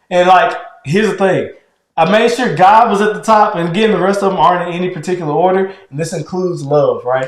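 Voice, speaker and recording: A man at high pitch and a very fast pace amid audible room echo. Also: ordinary pitch variation. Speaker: podcast co-host with his wife. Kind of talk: casual chat. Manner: gets louder when heated.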